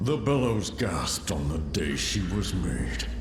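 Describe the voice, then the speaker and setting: A man does a put-on character voice at a fairly slow pace, with a slight echo and loud background noise. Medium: game stream. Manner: solemn, grandiose, cryptic.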